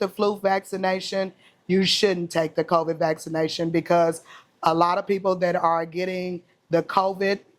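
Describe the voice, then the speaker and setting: A woman's fairly low, flat monotone in a Southern US accent, on a very clean recording against a silent background. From Mississippi, US South. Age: 40s. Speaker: chef and cookbook author. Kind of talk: interview.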